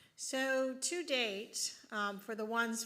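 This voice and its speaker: A woman's bright, sharp tone carries ordinary pitch variation. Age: 60s. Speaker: district superintendent. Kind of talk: Q&A session.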